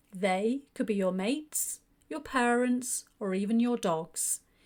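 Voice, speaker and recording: In a British accent, a woman speaks at a very slow pace with a fairly high pitch and ordinary pitch variation. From United Kingdom. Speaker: English teacher. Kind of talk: grammar lesson narration. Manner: clear.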